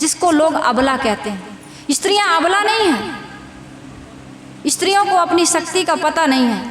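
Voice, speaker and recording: Her pitch is extremely high, with lively intonation. Noticeable background noise can be heard behind this woman. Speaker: spiritual preacher. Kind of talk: religious sermon to a live audience. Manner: simple, heartfelt.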